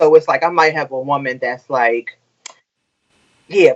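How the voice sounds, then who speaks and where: With an American accent, this speaker uses a relaxed tone while the pitch swings very widely. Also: woman. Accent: relaxed drawl. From Maryland, Prince George's County suburbs. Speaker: hairstylist. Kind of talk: casual chat.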